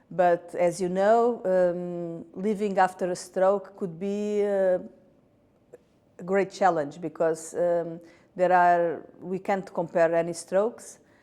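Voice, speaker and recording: A woman speaks very slowly in a Portuguese accent. Her medium-pitched voice has a dark, mellow tone and monotone, flat intonation. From Portugal. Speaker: patient advocate, stroke survivor. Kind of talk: interview statement. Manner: halting, many fillers.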